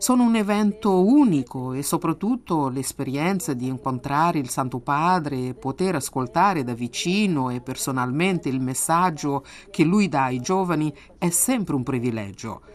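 Her pitch is very deep and low for a woman, yet it takes very wide swings. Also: moderate pace. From Angola. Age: 20s. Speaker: youth coordinator and catechist. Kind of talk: testimony. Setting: remote recording.

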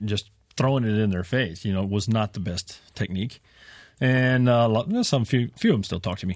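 A man's fairly low voice with an American accent, moderate pace and ordinary pitch variation, on a very clean recording with a silent background. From West Texas. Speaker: farmer and podcaster. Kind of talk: radio interview. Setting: studio. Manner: joking, comic.

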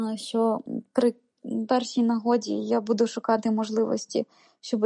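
A dark, mellow tone comes at a moderate pace. The sound is dry and close with no echo, over a quiet background. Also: woman. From Ukraine. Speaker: volunteer and communications lecturer. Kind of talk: interview testimony.

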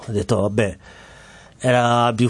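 This man has a Somali accent. He talks at a fairly slow pace. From Somalia, Mogadishu. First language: Somali (speaking Italian). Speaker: refugee, former footballer. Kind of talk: interview testimony. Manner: halting, with repetitions and fillers.

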